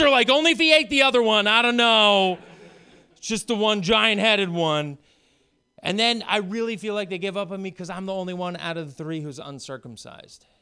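Over a quiet background, a man with a high pitch and bright, sharp tone uses a raised, projected voice at a fairly quick pace, with lively intonation and big swings in loudness. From Maine, rural farm. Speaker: stand-up comedian. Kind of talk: stand-up.

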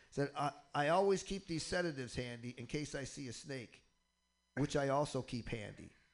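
In a normal speaking voice with an American accent, a man talks at a moderate pace, his fairly high pitch showing ordinary variation. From Michigan. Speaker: stand-up comedian. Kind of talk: casual chat. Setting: radio studio.

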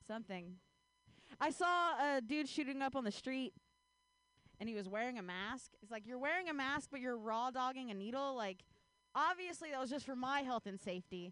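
Speaking in an American accent, a woman uses a high pitch and a bright, sharp tone with lively intonation, at a moderate pace broken by long, frequent pauses. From US Midwest. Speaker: stand-up comedian. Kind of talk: stand-up. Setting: stage with audience.

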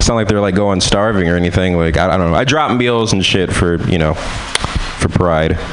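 A man with a very deep, low voice speaks at a moderate pace with very even loudness, ordinary pitch variation and hardly any pauses, over noticeable background noise. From San Francisco. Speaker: comedian. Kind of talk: stand-up.

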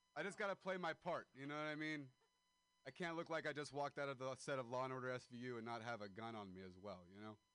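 Speaking very fast, a man uses lively intonation at a medium pitch with a bright, sharp tone. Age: 20s. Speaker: comedian. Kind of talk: stand-up. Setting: stage with audience.

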